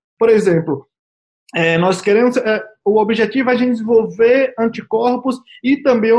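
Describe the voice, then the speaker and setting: A man's high-pitched voice at a moderate pace. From Brazil, interior of Bahia. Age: 30s. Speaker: biologist, vaccine researcher. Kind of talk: interview. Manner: halting, many repetitions.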